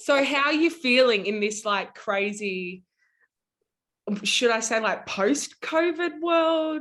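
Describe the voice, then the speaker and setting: Against a quiet background, a woman with an Australian accent speaks fairly slowly at a high pitch with lively intonation. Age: 20s. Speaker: podcast host. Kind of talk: interview.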